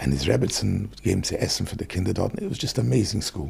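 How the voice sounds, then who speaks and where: A man's very fast, fairly low voice, dark and mellow with vocal fry and very wide pitch swings. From London, Stamford Hill. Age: 60s. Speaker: kosher food business owner. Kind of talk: podcast interview. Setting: studio. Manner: code-switching between English and Yiddish.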